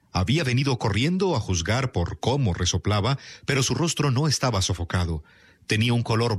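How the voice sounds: A natural reading voice carries lively intonation throughout.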